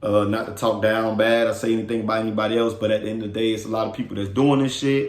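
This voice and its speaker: A medium-pitched man with an American accent, very fast and fairly even in intonation, with audible room echo. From Miami, Florida (Carol City). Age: 30s. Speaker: podcast host. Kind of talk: casual monologue.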